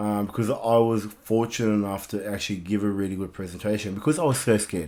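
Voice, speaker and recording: With an Australian accent, a man with a fairly low voice talks at a very fast pace with ordinary pitch variation. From Southwest Sydney, Australia (migrant as child). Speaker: life coach and gym owner. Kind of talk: podcast interview.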